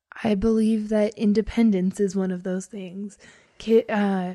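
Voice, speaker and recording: A woman speaks at a fairly slow pace in a dark, mellow tone, her medium pitch held in a monotone, flat intonation. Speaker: college student. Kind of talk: casual interview. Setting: studio.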